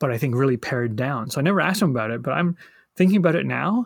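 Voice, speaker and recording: Lively intonation with a somewhat breathy quality. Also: man. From England-born, British family. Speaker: board game designer. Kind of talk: interview. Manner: halting with many fillers.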